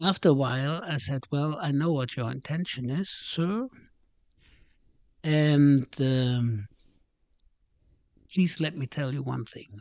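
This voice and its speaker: In a German accent, a man with a fairly high pitch speaks very slowly, leaving long, frequent pauses. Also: ordinary pitch variation. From Germany. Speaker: retired business executive. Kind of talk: casual chat. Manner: halting.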